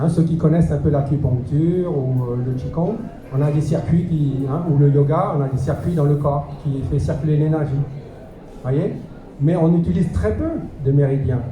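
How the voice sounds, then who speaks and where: At a fairly slow pace, a man with a fairly high pitch and ordinary pitch variation is heard with audible room echo and noticeable background noise. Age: 60s. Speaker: alternative health teacher and martial arts instructor. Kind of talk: lecture.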